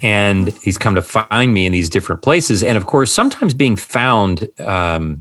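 With a fairly low pitch and ordinary pitch variation, this man has an unremarkable speaking voice. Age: 50s. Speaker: psychiatrist and author. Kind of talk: interview conversation.

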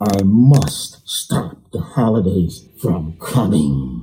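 A man does a put-on character voice, growling at a fairly low pitch. He speaks at a very slow pace. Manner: growling, scheming.

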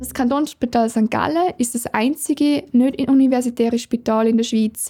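A woman with a high, dark, mellow voice speaks at a moderate pace with fairly even intonation. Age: 20s. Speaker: medical researcher and doctoral student. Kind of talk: personal account of her work.

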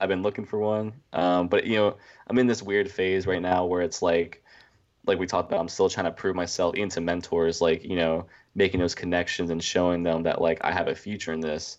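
The speaker is a man with an American accent. He talks at a fairly quick pace. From New Jersey. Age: 20s. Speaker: filmmaker. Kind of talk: interview.

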